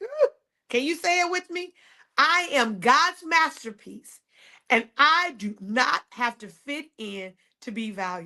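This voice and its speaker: Speaking at a very slow pace, a woman uses a raised, projected voice with a bright, sharp tone, high pitch, very wide pitch swings and big shifts in loudness. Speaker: podcast host and faith coach. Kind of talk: motivational podcast monologue.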